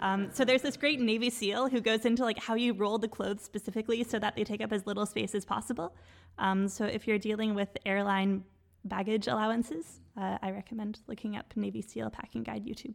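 A normal speaking voice from a woman with a Canadian accent, fairly high in pitch, at a fairly quick pace with fairly even intonation, in a very clean recording with a silent background. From Quebec, Canada. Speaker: doctoral student scholar. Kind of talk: casual chat.

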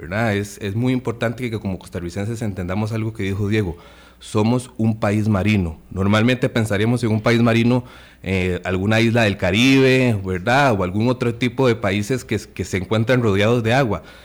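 Using an ordinary speaking voice, a man speaks at a moderate pace and a fairly low pitch. His intonation is fairly even, and the recording is very clean with a silent background. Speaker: conservation foundation representative. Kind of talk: radio interview.

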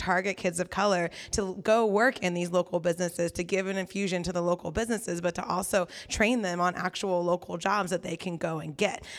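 A woman speaks at a fairly quick pace with fairly even intonation and a medium pitch, in an ordinary speaking voice. The recording is very clean, with a silent background. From California Central Valley. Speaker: community organizer and neighborhood association president. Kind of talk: panel discussion. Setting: live event with audience.

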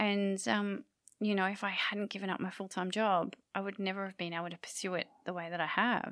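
A woman speaks in an unremarkable speaking voice at medium pitch. Her pace is fairly quick, her intonation fairly even. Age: 40s. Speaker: photography podcast co-host. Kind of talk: casual chat.

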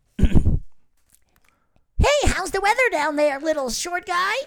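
Pitched extremely high, the put-on character voice proceeds at a moderate pace.

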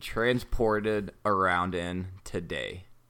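On a very clean recording with a silent background, a man with an American accent uses an unremarkable speaking voice, fairly low in pitch, with lively intonation. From North Texas, US. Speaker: podcast co-host. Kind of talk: interactive story narration; casual chat.

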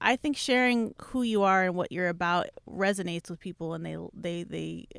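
A normal speaking voice at a fairly quick pace, in a very clean recording with a silent background and a dry, close sound free of echo. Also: woman. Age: 30s. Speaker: radio music director. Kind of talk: casual interview.

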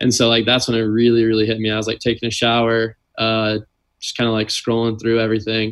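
A man with an American accent speaks at a very fast pace. His medium-pitched delivery is monotone and flat. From US South, Louisiana (New Orleans). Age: 20s. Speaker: volleyball player. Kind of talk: casual chat.

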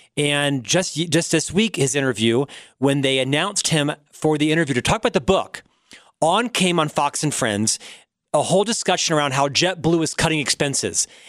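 On a very clean recording with a silent background and a dry, close sound with no echo, a man with an ordinary speaking voice talks at a moderate pace in a fairly high pitch, with ordinary pitch variation and very even loudness. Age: 50s. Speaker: radio talk show host. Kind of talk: interview.

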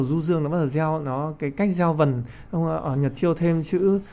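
A man's dark, mellow, fairly high-pitched voice at a moderate pace with ordinary pitch variation. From Vietnam. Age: 30s. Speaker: poet and physics teacher. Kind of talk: interview discussion.

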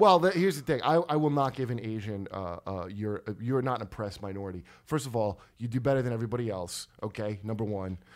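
Very fast, lively speech from a medium-pitched man with a New Jersey accent, hardly any pauses, on a very clean recording with a silent background. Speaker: comedian podcast host. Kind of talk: casual chat. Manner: animated.

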